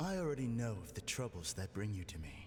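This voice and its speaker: A man performs a put-on character voice at a fairly quick pace. Background noise is clearly audible. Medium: video game. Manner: calm, hypnotic.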